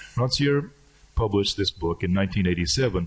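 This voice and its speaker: A man speaks with an American accent in a very deep, low voice. His pitch varies an ordinary amount, and he sounds somewhat breathy. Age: 60s. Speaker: professor. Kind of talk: lecture.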